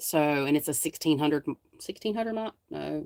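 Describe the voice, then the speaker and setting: This woman has a very deep, low pitch and a North Carolina accent. She talks at a moderate pace. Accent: Southern North Carolina. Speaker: paranormal investigator and live streamer. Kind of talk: casual live stream chat. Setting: live stream. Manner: rambling, conversational.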